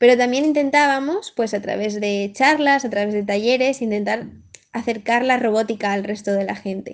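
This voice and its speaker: Spoken in a Madrid accent, the delivery moves at a moderate pace with ordinary pitch variation. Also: woman, fairly high pitch for a woman. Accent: Madrid Spanish (peninsular). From Coslada, Madrid, Spain. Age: 20s. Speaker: PhD student, engineer. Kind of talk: recorded self-introduction.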